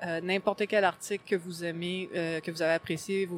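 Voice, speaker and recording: A woman speaks in a Quebec accent at a fairly quick pace. Her intonation stays monotone and flat. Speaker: gaming blogger. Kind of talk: interview. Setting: convention floor.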